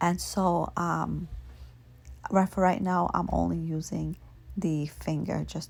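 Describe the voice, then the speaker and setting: A soft-spoken woman is talking. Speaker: nail art hobbyist / vlogger. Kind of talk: nail tutorial talking to camera, ASMR.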